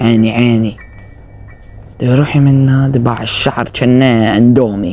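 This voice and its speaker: With music in the background, a man at a medium pitch speaks at a fairly slow pace, with fairly even intonation and very even loudness. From Iraq. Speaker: gaming streamer. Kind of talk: gameplay commentary.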